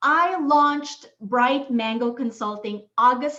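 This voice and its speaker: A woman speaks at a high pitch and a fairly slow pace. Her pitch varies in an ordinary way. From Philippines. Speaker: workshop facilitator, consultant. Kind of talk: workshop presentation.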